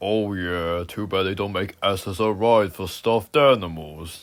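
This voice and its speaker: A man's cartoonish character voice, very deep and low in pitch, with a deadpan tone, in a very clean recording with a silent background. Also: moderate pace. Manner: slow, gloomy, deadpan.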